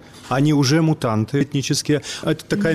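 This is a man with a plain, everyday voice. His pitch runs fairly high. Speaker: radio journalist. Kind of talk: panel discussion.

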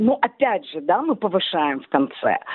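At a moderate pace, a woman talks in an Odessa accent over noticeable background noise. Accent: Odessa intonation, rising at ends. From Odessa, Ukraine. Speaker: blogger. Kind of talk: interview. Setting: phone call.

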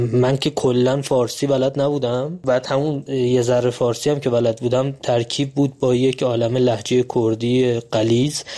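With a Kurdish accent, a man speaks in a flat monotone at very even loudness with hardly any pauses, over noticeable background noise. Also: medium pitch for a man, moderate pace. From Iranian Kurdistan, later Tehran. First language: Kurdish (speaking Persian). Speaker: radio listener sharing experience. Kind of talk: personal testimony.

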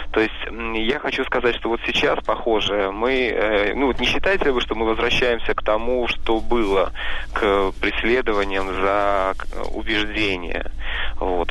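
The pace of this man's speech is moderate. Audible room echo surrounds his voice. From Leningrad region. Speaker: listener caller. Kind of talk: call-in question. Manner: halting.

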